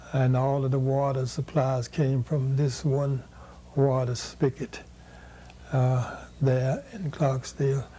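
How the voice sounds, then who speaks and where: A man talks at a very slow pace with a medium pitch. His voice is somewhat breathy, and his intonation is monotone and flat. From US South, Mississippi Delta. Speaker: educator and activist. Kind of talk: oral history interview. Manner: halting.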